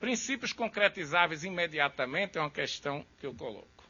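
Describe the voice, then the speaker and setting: A man's pitch moves in very wide swings. He speaks at a moderate speed. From Brazil, Recife. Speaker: law professor. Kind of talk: lecture.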